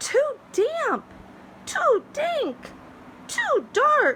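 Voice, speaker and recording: Squeaky and extremely high, this put-on character voice is clearly an act. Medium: read story.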